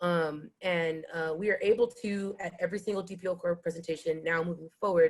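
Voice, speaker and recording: A woman speaks at a fairly low pitch with fairly even intonation. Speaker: nonprofit youth program leader. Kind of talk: panel presentation. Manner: fast.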